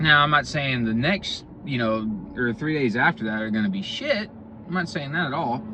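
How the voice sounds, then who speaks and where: A man with a fairly high voice speaks at a moderate pace with lively intonation over noticeable background noise. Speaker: fitness vlogger. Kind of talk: casual workout vlog talk. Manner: halting, many fillers and repeats.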